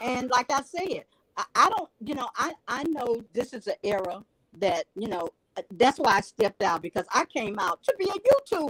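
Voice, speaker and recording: Animated in tone, a woman talks at a moderate pace with very wide pitch swings, in a dry, close sound with no echo. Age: 60s. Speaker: viewer joining live panel. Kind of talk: emotional testimony.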